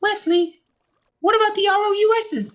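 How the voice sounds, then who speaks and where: A woman does a squeaky, put-on character voice at an extremely high pitch. She keeps a moderate pace and fairly even intonation. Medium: short film.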